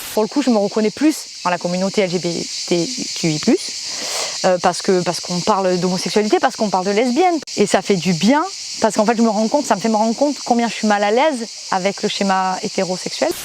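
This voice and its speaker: A woman with a strong southern French accent, fairly quick and lively in intonation, over noticeable background noise. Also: medium pitch for a woman. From southern France, Provence. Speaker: singer and stage performer. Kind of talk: interview testimony. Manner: hesitant, many fillers and repetitions.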